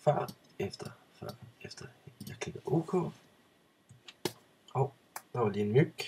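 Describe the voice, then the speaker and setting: A man mumbles at a fairly slow pace, his intonation lively. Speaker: photo editing tutorial maker. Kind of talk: tutorial. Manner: mumbling; hesitant with fillers.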